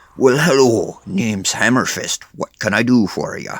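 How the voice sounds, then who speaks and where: A man's put-on character voice at a medium pitch. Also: moderate pace. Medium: read story. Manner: friendly.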